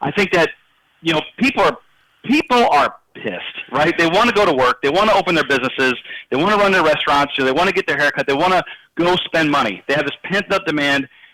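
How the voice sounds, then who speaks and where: In an American accent, a high-pitched man talks at a very fast pace with lively intonation and very even loudness. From Indiana. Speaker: IT expert, political commentator. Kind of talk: radio interview.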